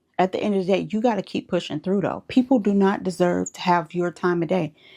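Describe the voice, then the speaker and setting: A dark, mellow tone at a fairly quick pace, with an American accent and a quiet background. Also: woman. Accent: Southern US, comes out when passionate. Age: 30s. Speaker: spiritual advice vlogger. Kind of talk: motivational monologue. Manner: animated.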